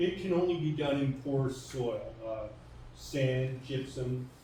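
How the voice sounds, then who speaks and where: Speaking at a medium pitch with ordinary variation, a man is heard with audible room echo. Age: 70s. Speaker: retired teacher and woodlot owner. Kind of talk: public information session talk. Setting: community hall with audience.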